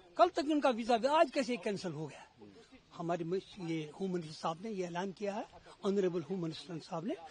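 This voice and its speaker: At a moderate pace, the voice makes very wide pitch swings over noticeable background noise. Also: man. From Kashmir. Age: 70s. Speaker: deportee's family member. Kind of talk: street interview. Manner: animated.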